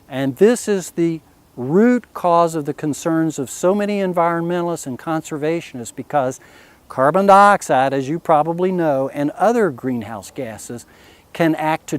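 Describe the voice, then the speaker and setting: The speaker has lively intonation and talks with a West Virginia accent. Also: man. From US, West Virginia. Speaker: physician and conservationist. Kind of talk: explanatory talk. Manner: measured, with fillers.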